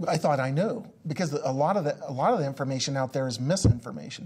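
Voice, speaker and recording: This man's voice is fairly high in pitch, with ordinary pitch variation. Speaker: business coach. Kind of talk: interview. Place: studio. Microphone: lapel.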